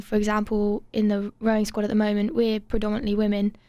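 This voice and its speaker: A woman with an English accent speaks at a very fast pace. Her tone is dark and mellow, her pitch fairly high. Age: young. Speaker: university student and rowing captain. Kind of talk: radio interview. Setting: studio.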